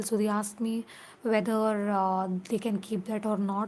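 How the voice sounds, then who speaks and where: Somewhat breathy and fairly high in pitch, a woman with a Keralan accent talks at a moderate pace. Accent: Indian English (Malayali). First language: Malayalam. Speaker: crochet vlogger. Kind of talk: casual tutorial vlog. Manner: halting, many fillers.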